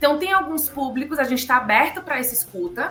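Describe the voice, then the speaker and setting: With a Bahian accent, a woman speaks at a fairly quick pace over noticeable background noise. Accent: Bahian Brazilian Portuguese. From Bahia, Brazil. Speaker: psychologist. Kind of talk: interview answer.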